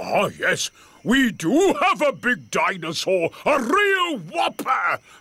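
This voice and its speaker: A man does a cartoonish character voice at an extremely high pitch, swinging his pitch very widely and speaking at a very slow pace. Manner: hearty, showman-like.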